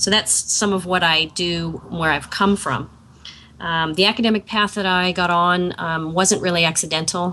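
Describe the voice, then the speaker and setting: Intonation stays fairly even at a moderate pace. The tone is bright and sharp. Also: woman, fairly low pitch for a woman. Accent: American. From US. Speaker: professor. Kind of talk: live talk. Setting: video call. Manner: halting.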